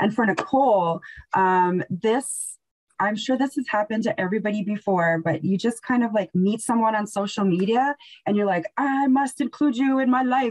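A woman with an Albertan accent speaks at a fairly high pitch and a moderate pace, somewhat breathy, with lively intonation. Her loudness stays very even against a quiet background. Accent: Canadian (Alberta). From northern Alberta, Canada. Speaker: museum educator, show host. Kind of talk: casual chat. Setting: video call. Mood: warm, lively. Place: home room. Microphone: video call.

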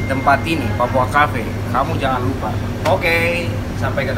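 Loud background noise fills the clip. A man speaks at a moderate pace. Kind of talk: tutorial. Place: cafe. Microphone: phone near.

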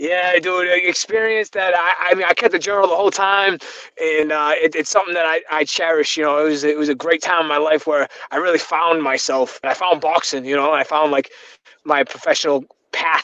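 Over a quiet background, a man talks quickly in a high pitch with a bright, sharp tone. His intonation is fairly even, and the sound is dry with no echo. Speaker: remote guest. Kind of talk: interview answer. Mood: reflective, warm.

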